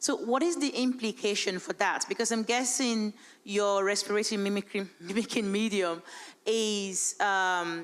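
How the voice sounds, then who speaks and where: On a very clean recording with a silent background, a woman of medium pitch speaks at a fairly slow pace with ordinary pitch variation. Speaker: conference audience member. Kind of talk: audience question. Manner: loud.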